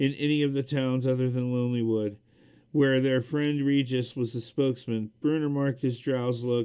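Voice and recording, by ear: Reading aloud in a natural voice, the speaker holds the intonation fairly even.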